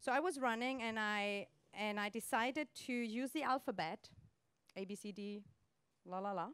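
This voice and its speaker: With a German accent, a woman speaks at a moderate pace and a fairly high pitch, using ordinary pitch variation and long, frequent pauses. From Germany. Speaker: coach and speaker. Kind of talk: motivational talk. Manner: animated.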